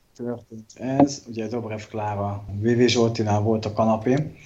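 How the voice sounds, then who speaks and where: The speech moves at a fairly slow pace with fairly even intonation, heard through audible room echo and noticeable background noise. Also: man. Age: 30s. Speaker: political podcast co-host. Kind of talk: casual political chat.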